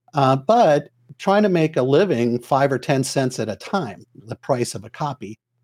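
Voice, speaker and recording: A man with a normal speaking voice talks at a moderate pace with lively intonation. The recording is very clean and dry, close with no echo, against a silent background. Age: 60s. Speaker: entrepreneur. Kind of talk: casual chat.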